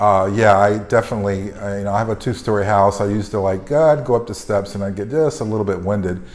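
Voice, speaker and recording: With an American accent, a man rattles along at a very fast pace with hardly any pauses, his fairly low pitch showing ordinary variation over noticeable background noise. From North Carolina, Greensboro. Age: 60s. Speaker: retired healthcare consultant. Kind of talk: testimonial interview. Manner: halting, many fillers.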